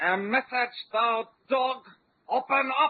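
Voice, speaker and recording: A put-on character voice is pitched high. It moves at a very slow pace. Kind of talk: archaic, gruff. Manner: gruff, demanding.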